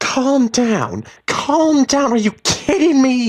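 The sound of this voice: Using a put-on character voice, a man speaks slowly at an extremely high pitch with big pitch swings.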